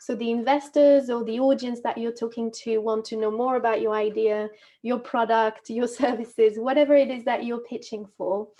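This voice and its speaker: A woman with a French accent speaks at a moderate pace in a fairly high pitch, with monotone, flat intonation and hardly any pauses. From France, Normandy. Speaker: movement and communication coach. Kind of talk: webinar presentation. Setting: video call webinar.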